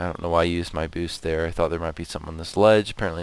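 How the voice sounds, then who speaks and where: A man is talking. His pitch varies in an ordinary way. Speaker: video game YouTuber. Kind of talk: casual gameplay commentary.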